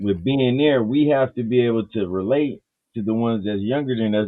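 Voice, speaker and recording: A man speaks at a medium pitch and fairly quick pace with ordinary pitch variation. It is an unremarkable speaking voice. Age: 50s. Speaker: live panel show host. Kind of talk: casual chat.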